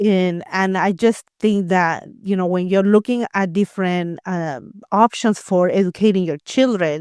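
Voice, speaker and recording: A woman with a Spanish accent at a fairly slow pace, hardly any pauses, in a dry, close sound with no echo. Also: medium pitch for a woman, ordinary pitch variation, very clean recording, silent background. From Latin America. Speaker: homeschooling parent and former educator. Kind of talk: interview. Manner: halting, many fillers and repeated words.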